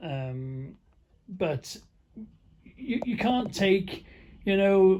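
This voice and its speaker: A man speaks with a North Welsh accent in a dark, mellow tone. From North Wales (Caernarfon area). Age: 60s. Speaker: truck driver vlogger. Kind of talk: casual monologue. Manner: halting.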